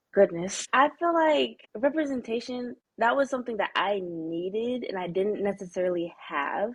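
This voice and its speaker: Loud and with an American accent, this voice swings very widely in pitch and leaves hardly any pauses. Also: woman, medium pitch for a woman, moderate pace. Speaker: college gymnast. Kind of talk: podcast interview. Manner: energetic.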